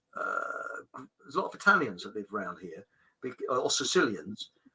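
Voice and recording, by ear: A man speaks at a fairly low pitch with big pitch swings and a bright, sharp tone. His voice carries vocal fry and a husky, rough edge. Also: moderate pace.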